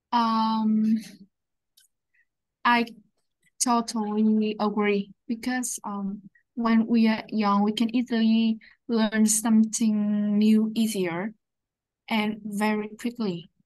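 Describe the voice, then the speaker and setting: A woman with a somewhat breathy, fairly high voice speaks at a very slow pace with monotone, flat intonation and long, frequent pauses over a quiet background. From Vietnam. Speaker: English student. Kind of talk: speaking practice answers. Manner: halting, many fillers.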